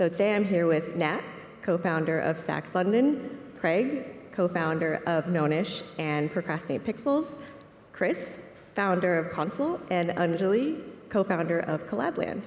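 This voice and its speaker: A soft-spoken woman at a fairly low pitch and fairly slow pace, with lively intonation, very even loudness, audible room echo, and noticeable background noise. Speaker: panel moderator. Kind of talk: panel moderation. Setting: conference stage with audience.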